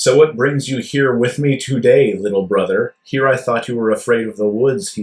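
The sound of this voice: The clip offers an unforced reading voice.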